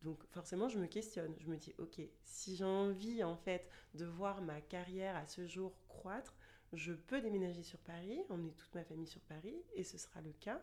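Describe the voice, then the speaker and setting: A woman's fairly low, dark, mellow voice at a moderate pace, with ordinary pitch variation and big swings in loudness. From France, Chartres area. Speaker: luxury store manager. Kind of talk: casual interview.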